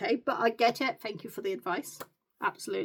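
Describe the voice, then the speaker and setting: Fairly high-pitched woman's voice with a British accent, vocal fry, very wide pitch swings and a fairly quick pace. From UK. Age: 40s. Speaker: beauty content creator. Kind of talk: get ready with me vlog. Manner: casual, chatty.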